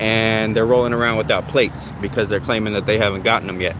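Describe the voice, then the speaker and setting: A very fast pace in an American accent, with music in the background. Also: man. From San Diego, California. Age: 40s. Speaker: copwatch videographer. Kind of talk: street conversation. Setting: outdoors on the street.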